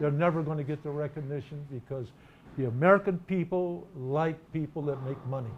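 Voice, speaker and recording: A man speaks with a fairly high, somewhat breathy voice. His pace is fairly quick and his pitch variation ordinary. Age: 70s. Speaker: professional bowler. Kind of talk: interview answer.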